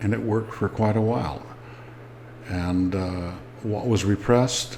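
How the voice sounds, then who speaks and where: With noticeable background noise and audible room echo, a man speaks at a moderate pace with a fairly low pitch and fairly even intonation. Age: 70s. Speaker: war veteran and ex-Jehovah's Witness vlogger. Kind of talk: personal testimony.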